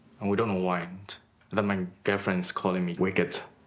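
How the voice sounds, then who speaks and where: In a Burmese accent, a man talks at a fairly quick pace with a very deep, low pitch and monotone, flat intonation. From Myanmar (Rangoon). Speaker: artist. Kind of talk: documentary interview. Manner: halting, with hesitations.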